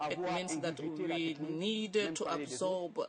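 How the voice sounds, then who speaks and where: The speaker has a non-native accent. Noticeable noise sits in the background. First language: not English. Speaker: summit panelist. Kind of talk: panel discussion. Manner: halting.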